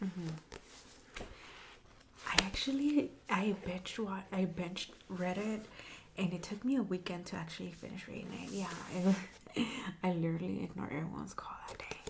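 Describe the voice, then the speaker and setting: A soft-spoken woman talks at medium pitch with ordinary pitch variation and big swings in loudness. Noticeable background noise can be heard. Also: moderate pace. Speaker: bookstore clerk (roleplay). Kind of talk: ASMR roleplay.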